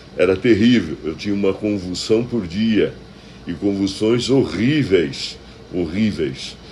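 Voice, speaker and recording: A man speaks at a fairly slow pace with ordinary pitch variation. There is audible room echo and noticeable background noise. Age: 60s. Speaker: pastor. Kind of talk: devotional sermon.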